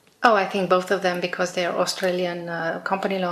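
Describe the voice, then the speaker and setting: Fairly quick, monotone, flat delivery over noticeable background noise. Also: woman. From Romania. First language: Romanian. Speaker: exam candidate. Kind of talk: speaking test interview. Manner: hesitant.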